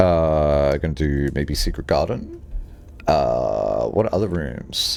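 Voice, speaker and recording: A man's voice with music in the background. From Australia, Sydney. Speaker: video game streamer. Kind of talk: casual gaming livestream chat.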